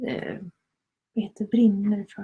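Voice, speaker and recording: A woman speaks in a Swedish accent at a fairly slow pace, her pitch fairly high and her tone dark and mellow. Her delivery is somewhat breathy, with monotone, flat intonation. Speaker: conscious business coach. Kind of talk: live stream chat. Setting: live stream on Instagram and Facebook. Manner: hesitant.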